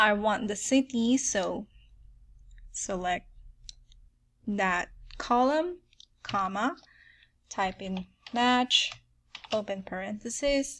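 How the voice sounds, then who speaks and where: In a very clean recording with a silent background, a woman with a Filipino accent speaks very slowly with lively intonation and long, frequent pauses. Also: fairly high pitch for a woman. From Philippines. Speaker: software tutorial creator. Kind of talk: tutorial. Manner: casual, filler-heavy with frequent um.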